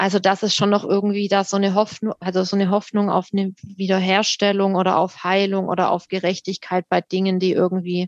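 At a moderate pace, a woman speaks with a medium pitch and monotone, flat intonation, the sound dry and close with no echo. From Württemberg, Rems-Murr district near Stuttgart. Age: 30s. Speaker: theologian working in education equity. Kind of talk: casual conversation.

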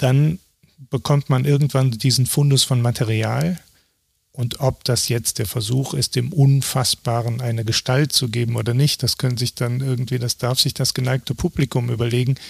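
Here a man talks at a moderate pace, medium in pitch and somewhat breathy. His intonation is fairly even, and the sound is dry and close with no echo. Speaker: documentary photographer. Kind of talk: interview.

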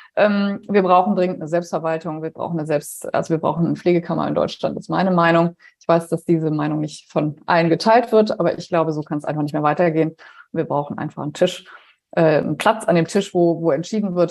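A woman's fairly low, fairly even voice at a very fast pace. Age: 50s. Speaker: nurse and healthcare startup founder. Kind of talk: podcast interview.

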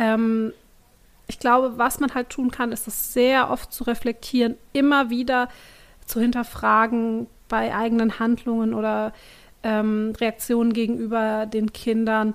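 Speaking at a fairly slow pace with long, frequent pauses, a woman holds a fairly high pitch in monotone, flat intonation. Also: very clean recording, silent background. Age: 30s. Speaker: parenting writer on social media. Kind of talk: casual chat.

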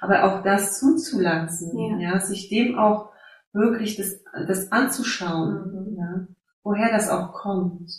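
A woman with an Eastern European accent speaks at a very slow pace, her medium pitch moving in an ordinary way. Her voice is somewhat breathy. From Silesia, Poland (near Opole). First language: Silesian/Polish (speaking German). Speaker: life coach and educator. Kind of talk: interview. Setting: video call. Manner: halting.

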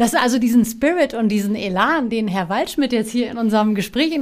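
A woman speaks at a fairly quick pace with fairly high pitch. Her pitch varies in an ordinary way, and it is an unremarkable speaking voice. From Offenbach, Hesse, Germany (born in Istanbul). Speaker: radio and TV presenter. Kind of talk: interview.

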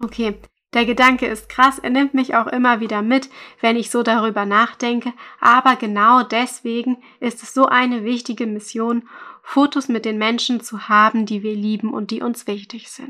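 A woman's fairly high, bright, sharp voice at a moderate pace, with monotone, flat intonation and big swings in loudness. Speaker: photography podcast host, mother. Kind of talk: solo podcast monologue.

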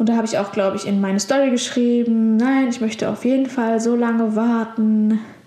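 A woman's flat, monotone delivery at a fairly quick pace, very even in loudness with hardly any pauses, amid noticeable background noise and audible room echo. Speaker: podcast host, virtual assistant. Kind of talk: solo podcast monologue. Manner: hesitant, many filler sounds. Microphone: poorer sound quality this episode.

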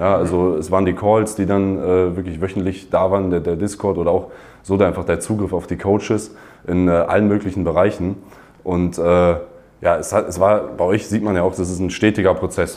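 A man's very deep, low voice, dark and mellow in tone, monotone and flat, at a moderate pace. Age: 20s. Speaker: university student. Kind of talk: interview testimonial. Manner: halting, many fillers.

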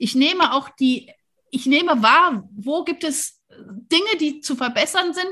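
The voice is raised and projected, with a bright, sharp tone, lively intonation and an animated delivery. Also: woman. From Rhineland, near Cologne, Germany. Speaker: podcast host, leadership coach. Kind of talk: casual interview.

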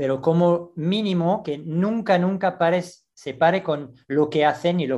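Over a quiet background, the speech runs at a fairly slow pace with ordinary pitch variation. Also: man. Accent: French. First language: French (speaking Spanish). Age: 60s. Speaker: gymnastics coach. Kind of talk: interview. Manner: halting.

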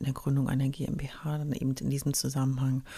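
A dark, mellow, somewhat breathy voice moves at a fairly quick pace. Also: woman. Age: 40s. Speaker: startup consultant and podcast host. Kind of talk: solo podcast monologue. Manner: animated.

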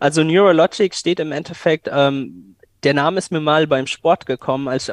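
A man's fairly high voice at a moderate pace, with ordinary pitch variation, an unremarkable speaking voice, and a dry, close sound with no echo. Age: 20s. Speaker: AI startup founder. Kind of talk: interview.

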